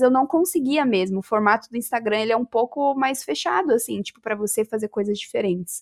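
A plain, everyday voice: a woman at fairly high pitch and fairly quick pace, in a dry, close sound with no echo, on a very clean recording with a silent background. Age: 20s. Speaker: gamer and influencer. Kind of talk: casual chat.

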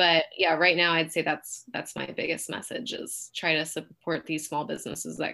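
Vocal fry runs through a bright, sharp tone in this voice. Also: woman. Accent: Californian. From San Francisco Bay Area, California. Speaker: realtor. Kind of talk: interview.

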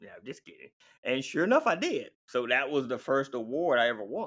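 The tone is bright and sharp, with very wide pitch swings. The pace is moderate. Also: man. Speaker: endurance athlete. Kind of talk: interview conversation.

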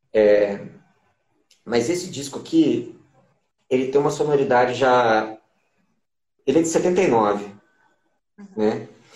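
With lively intonation, a man speaks at a very slow pace, leaving long, frequent pauses, and the room echo is audible. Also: medium pitch for a man. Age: 20s. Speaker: musician. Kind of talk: casual interview. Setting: on camera.

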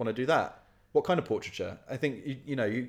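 This is a man speaking with a southern English accent. His pitch variation is ordinary. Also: very clean recording, silent background. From Kent, southeast England. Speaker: photographer and photography student. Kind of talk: casual interview chat.

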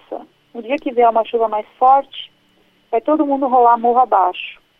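A woman talks at a high pitch. Her pace is moderate, and her pitch varies in an ordinary way. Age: 30s. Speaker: pro-life educator and speaker. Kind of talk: radio interview.

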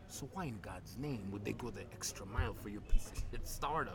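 Noticeable background noise beneath a fairly quick pace. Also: man. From Uganda. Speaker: startup founder. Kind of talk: casual interview.

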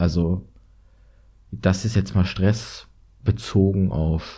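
Very deep and low, this man's somewhat breathy voice has a dark, mellow tone and fairly even intonation. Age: 20s. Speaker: university student and podcaster. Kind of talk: solo monologue podcast.

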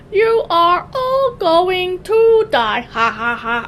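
A put-on character voice with very wide pitch swings at a very slow pace, over clear background noise. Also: woman, extremely high pitch for a woman. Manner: menacing, crazy.

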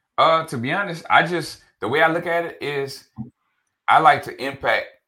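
The speaker is a man. He has an American accent. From New Orleans. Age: 30s. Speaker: real estate broker and author. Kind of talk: podcast interview. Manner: casual, animated.

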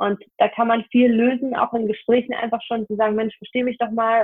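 With flat, monotone intonation, a woman speaks at a moderate pace and a fairly high pitch. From Hanover, northern Germany. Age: 20s. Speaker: self-employed photographer. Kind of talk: podcast interview.

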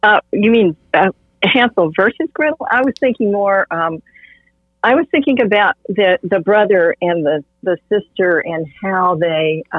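A woman with a medium pitch talks in an ordinary speaking voice at very even loudness. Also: fairly slow pace. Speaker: art therapist, host's mother. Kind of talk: casual interview discussion. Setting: virtual recording.

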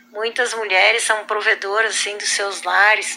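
A woman's monotone, flat, medium-pitched voice over noticeable background noise. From southern Brazil, Rio Grande do Sul. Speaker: schoolteacher. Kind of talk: personal testimony.

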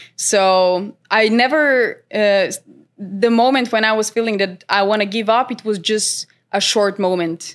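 On a very clean recording with a silent background, a woman with a Macedonian accent speaks at a fairly high pitch with fairly even intonation. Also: fairly slow pace. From North Macedonia. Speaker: trader and content creator. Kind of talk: interview. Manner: hesitant, many fillers.

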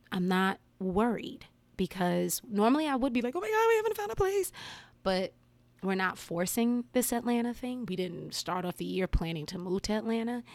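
A woman with an American accent has an unremarkable speaking voice at a fairly high pitch. Her intonation is lively and her pace moderate. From New Jersey (Englewood, near New York City). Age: 40s. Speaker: podcast host and yoga teacher. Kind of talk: casual solo monologue. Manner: chatty, filler-heavy with frequent laughs.

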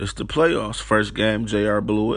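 Audible echo from the room surrounds this man as he talks. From Detroit, Michigan. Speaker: podcast host. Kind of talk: casual monologue.

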